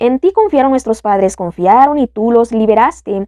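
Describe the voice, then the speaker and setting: A woman's plain, everyday voice, fairly high in pitch, with lively intonation at a fairly quick pace. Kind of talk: scripted narration of psalm, fervent prayer.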